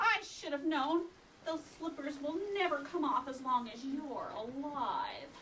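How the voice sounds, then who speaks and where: Over clear background noise, a female-sounding voice does a put-on character voice at a high pitch and a fairly slow pace. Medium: stage play. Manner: taunting, menacing.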